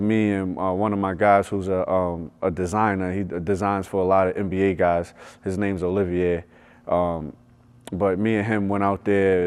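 With an American accent, a man talks at a moderate pace in a very deep, low pitch. His intonation is monotone and flat against a quiet background. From New York. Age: 30s. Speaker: basketball skills coach. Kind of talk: casual interview. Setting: gym.

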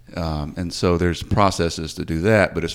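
A voice with a Mid-South US accent. It moves at a moderate pace. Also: man. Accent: Mid-South US Southern. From Memphis, Tennessee (Whitehaven area). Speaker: city attorney. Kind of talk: interview. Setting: studio.

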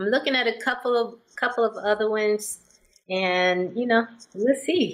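Using a normal speaking voice, a woman talks at a moderate pace and a fairly high pitch, with ordinary pitch variation. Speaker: singer, podcast host and author. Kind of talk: casual interview chat.

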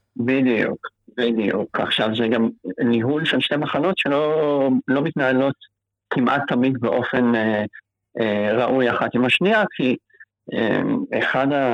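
A man speaks at a medium pitch and a fairly slow pace, with long, frequent pauses. His pitch varies in an ordinary way, and his loudness stays very even. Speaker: cancer patient. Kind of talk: interview.

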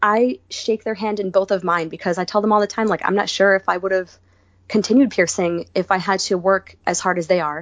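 An unremarkable speaking voice from a woman, medium in pitch, with fairly even intonation and a fairly quick pace. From US Northeast, Rhode Island. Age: 30s. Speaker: body piercer and studio owner. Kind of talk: casual interview.

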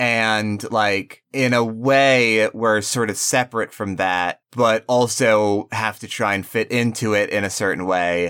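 A man's bright, sharp voice at a fairly slow pace, with hardly any pauses. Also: fairly low pitch for a man. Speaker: podcast host. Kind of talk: casual banter, comedic chat. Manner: animated, goofy, excitable.

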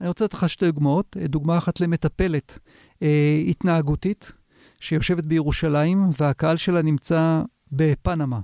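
A man with a normal speaking voice at a fairly high pitch talks at a fairly slow pace with fairly even intonation and very even loudness, in a dry, close sound with no echo on a very clean recording with a silent background. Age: 50s. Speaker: video marketing consultant. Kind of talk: interview. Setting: studio.

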